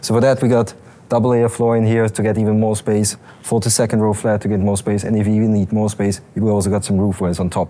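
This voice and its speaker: A man speaks very fast with an Austrian accent, his dark, mellow tone held to a flat monotone at a very even loudness. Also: fairly low pitch for a man. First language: German. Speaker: car company product expert. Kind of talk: product demonstration.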